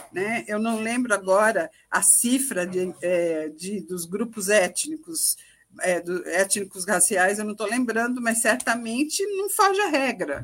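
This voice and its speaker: This woman speaks at a very slow pace. Her fairly high voice has lively intonation. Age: 60s. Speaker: former government minister. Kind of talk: live TV panel discussion.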